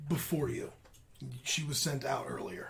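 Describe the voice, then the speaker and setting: A woman puts on a raspy character voice with a very deep, low pitch, speaking at a moderate pace. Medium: actual play. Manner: clipped, robotic, drops pronouns.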